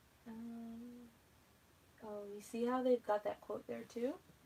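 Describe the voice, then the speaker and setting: Mumbling woman over noticeable background noise. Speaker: planner YouTuber. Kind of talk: live stream craft tutorial. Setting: YouTube live video. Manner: casual, chatty. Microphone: no microphone, sound low.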